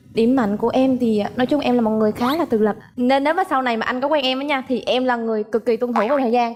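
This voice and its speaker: Over noticeable background noise, a woman with a slight central Vietnamese accent talks very fast and high-pitched, with hardly any pauses, very even loudness and fairly even intonation. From Phu Yen, central Vietnam. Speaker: dating show contestant. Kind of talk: dating show conversation.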